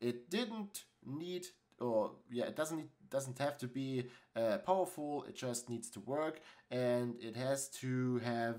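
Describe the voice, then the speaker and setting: A man in a German accent, talking at a very slow pace. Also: medium pitch for a man, ordinary pitch variation. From Germany. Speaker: tech YouTuber. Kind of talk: tutorial. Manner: halting, many fillers.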